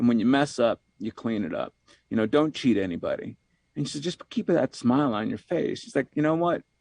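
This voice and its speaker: A man with a normal speaking voice, fairly high-pitched, at a fairly quick pace with lively intonation, in a dry, close sound with no echo and a quiet background. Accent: American. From New York. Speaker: executive coach and author. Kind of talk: podcast interview.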